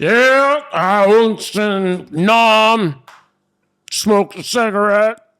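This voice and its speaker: A man's put-on character voice, high in pitch, at a very slow pace. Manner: mocking.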